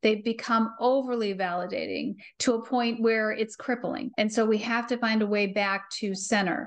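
Over a quiet background, a woman talks at a fairly slow pace in an unremarkable speaking voice, her fairly high pitch held to fairly even intonation. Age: 50s. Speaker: parenting coach. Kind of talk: casual chat.

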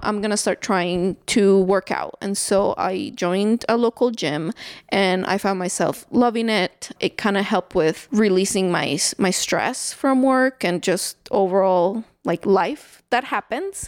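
Dry and close with no echo on a very clean recording with a silent background, the voice comes in a Salvadoran accent at a fairly slow pace, with ordinary pitch variation and hardly any pauses. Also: woman, medium pitch for a woman. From El Salvador. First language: Spanish. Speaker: new mother and neighbor. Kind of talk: casual interview. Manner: frequent fillers and laughter.

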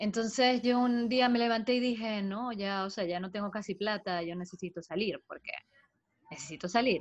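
Ordinary pitch variation and a moderate pace from a woman with a fairly high voice. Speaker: podcast co-host. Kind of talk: casual chat.

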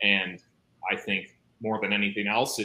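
A man's bright, sharp voice with a Midwestern American accent, at a moderate pace. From US Midwest. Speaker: YouTuber discussing theology. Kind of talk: casual chat. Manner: halting.

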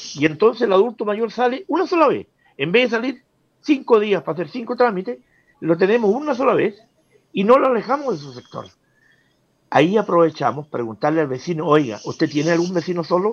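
Against a quiet background, a man with a high voice talks fairly quickly, his pitch swinging very widely. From southern Chile, Osorno area. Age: 60s. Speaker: community leader for the elderly. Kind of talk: interview.

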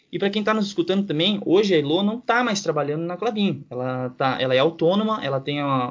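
Speaking at a fairly quick pace, a man has a high pitch. His intonation is lively. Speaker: podcast co-host. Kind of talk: interview.

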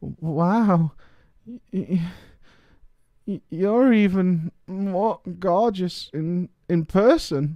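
Putting on a character voice, a man mumbles in a soft-spoken, high-pitched way at a very slow pace with long, frequent pauses. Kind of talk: bashful. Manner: very soft, stammering, flustered.

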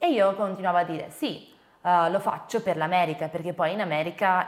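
This is an ordinary speaking voice. A woman speaks at a fairly low pitch. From Venice, Italy. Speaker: eating disorder awareness content creator. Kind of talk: interview testimony.

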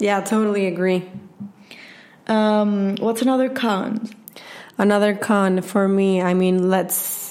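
A woman of medium pitch speaks very slowly in a Spanish accent, with long, frequent pauses and fairly even intonation. Her loudness is very even, and the room echo is audible. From Venezuela. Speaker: podcast co-host. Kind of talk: casual chat.

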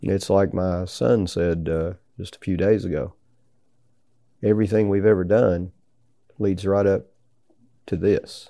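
With a Southern US accent, the speaker uses a dark, mellow tone and ordinary pitch variation at a fairly slow pace, leaving long, frequent pauses, on a very clean recording with a silent background. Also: man, very deep, low pitch for a man. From US South, Tennessee. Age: 60s. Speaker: business founder and hunter. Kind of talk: interview. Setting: hunting ranch in Mexico. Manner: halting.

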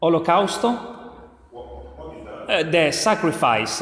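A high-pitched man talks at a fairly slow pace with lively intonation. Noticeable background noise can be heard. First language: Italian. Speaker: preacher. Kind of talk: sermon. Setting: church. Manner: halting.

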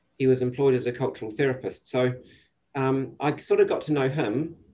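Dark, mellow male tone, intonation fairly even. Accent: New Zealand. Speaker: psychiatrist. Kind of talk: casual interview. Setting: video call.

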